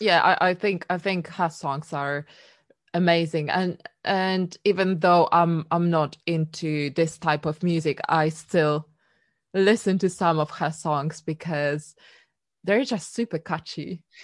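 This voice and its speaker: In a Polish accent, the speaker goes at a very slow pace with fairly even intonation over a quiet background. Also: woman, fairly low pitch for a woman. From Poland. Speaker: singer-songwriter. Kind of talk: casual interview chat.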